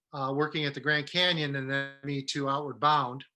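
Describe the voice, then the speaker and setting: With a Midwestern US accent, a man uses a fairly high pitch, a bright, sharp tone and monotone, flat intonation. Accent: US Midwest. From Detroit, Michigan. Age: 60s. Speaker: business professor. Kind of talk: webinar talk. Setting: online webinar.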